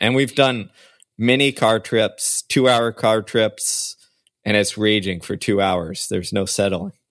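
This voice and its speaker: The background is silent on this very clean recording. The words come fairly slowly. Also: man, dry, close sound with no echo. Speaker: podcast co-host. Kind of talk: casual chat. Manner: enthusiastic, energetic.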